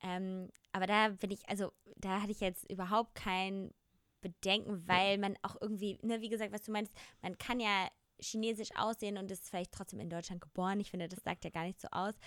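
On a very clean recording with a silent background, a voice speaks at a fairly quick pace in a flat monotone, the sound dry and close with no echo. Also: woman, medium pitch for a woman. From Germany, small village. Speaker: podcast co-host. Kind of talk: casual chat.

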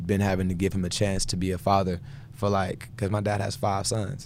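Audible room echo surrounds a man's fairly low-pitched voice, his intonation fairly even. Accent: American. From Houston, Texas. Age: 20s. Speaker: gospel singer and producer. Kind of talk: casual interview chat.

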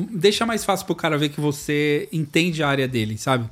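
Talking at a fairly quick pace, a man with a fairly high pitch has a plain, everyday voice. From São Paulo east zone, Brazil. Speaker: video editor and podcast host. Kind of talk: casual chat. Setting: video call.

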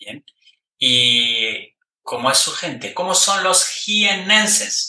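A man speaks in a raised, projected voice at a very slow pace, pitched high with very wide swings in pitch. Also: big swings in loudness. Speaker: podcast host and online Spanish teacher. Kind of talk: interview for Spanish learners. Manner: slow, clear delivery for learners.

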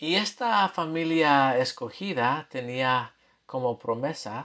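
Over a quiet background, a man with an American accent speaks at a medium pitch and a very slow pace. His tone is bright and sharp, with ordinary pitch variation. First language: English (speaking Spanish). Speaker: scripture teacher podcaster. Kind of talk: scripture lesson. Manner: halting.

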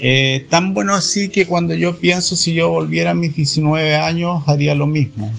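At a fairly slow pace, a man with a fairly high pitch and ordinary pitch variation speaks over noticeable background noise. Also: hardly any pauses. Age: 60s. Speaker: Hare Krishna devotee. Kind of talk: interview.

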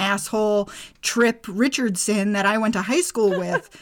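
A woman with an unremarkable speaking voice speaks at a fairly slow pace. Her pitch is medium and her intonation fairly even. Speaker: podcast co-host. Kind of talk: casual chat.

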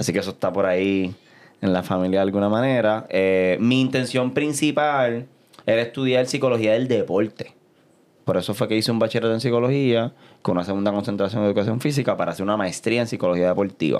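A man talks at a very fast pace while his loudness stays very even. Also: ordinary pitch variation, quiet background. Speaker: beatboxer. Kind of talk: interview.

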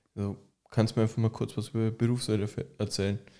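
A man's fairly low, dark, mellow voice at a fairly quick pace, monotone and flat, on a very clean recording with a silent background. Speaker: podcast host, furniture maker. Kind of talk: casual interview. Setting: studio, in person.

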